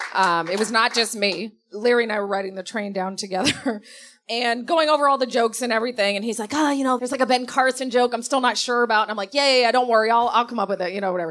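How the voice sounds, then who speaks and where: A woman's very fast, fairly high-pitched voice with an American accent and ordinary pitch variation. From Davenport, Iowa (US Midwest). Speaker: comedic actress and TV writer. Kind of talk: casual interview on stage. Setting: live show with audience.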